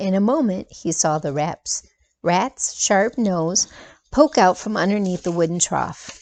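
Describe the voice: Plain reading aloud with ordinary pitch variation over a quiet background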